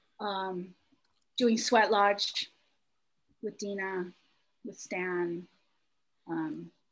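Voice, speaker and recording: A woman with an American accent speaks at a very slow pace with ordinary pitch variation. The recording is very clean, with a silent background. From US Midwest. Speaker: professor. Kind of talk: casual chat.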